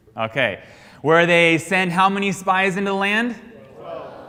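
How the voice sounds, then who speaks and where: In an American accent, a man speaks at a very slow pace with a high, bright and sharp tone, and audible room echo. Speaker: Sunday school teacher. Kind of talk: interactive Bible class lecture. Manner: call-and-response questioning.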